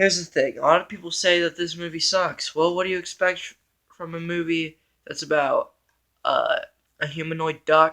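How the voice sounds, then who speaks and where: In a high-pitched voice, a man speaks with monotone, flat intonation. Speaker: movie reviewer on own channel. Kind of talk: casual vlog monologue. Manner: slow and quiet; hesitant, many fillers.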